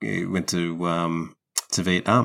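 In a very clean recording with a silent background, a man speaks with an Australian accent. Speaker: football podcast co-host. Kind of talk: casual chat.

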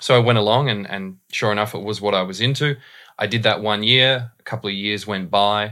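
A fairly quick man with an Australian accent, fairly low in pitch with fairly even intonation and a bright, sharp tone, on a very clean recording with a silent background. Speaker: voice and dialect coach. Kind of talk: casual interview.

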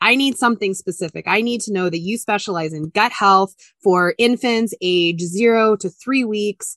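A woman with a medium pitch talks in an animated tone with ordinary pitch variation and hardly any pauses, in a dry, close sound with no echo and a quiet background. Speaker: media coach, former journalist. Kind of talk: interview conversation. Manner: loud and fast when excited.

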